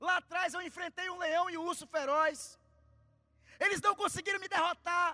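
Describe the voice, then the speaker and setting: A man's raised, projected voice at an extremely high pitch, bright and sharp in tone, animated, at a moderate pace, with a dry, close sound and no echo. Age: 30s. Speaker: preacher. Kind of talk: sermon. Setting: church.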